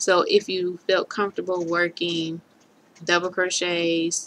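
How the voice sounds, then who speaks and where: A woman speaks at a very slow pace. Her tone is bright and sharp. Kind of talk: tutorial. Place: home room. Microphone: webcam.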